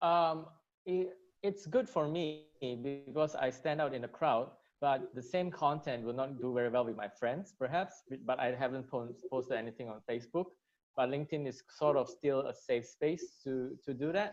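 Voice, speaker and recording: A man talks at a moderate pace with a non-native accent. His pitch is fairly high, with ordinary variation. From Malaysia. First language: not English. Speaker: marketer. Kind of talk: interview. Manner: halting.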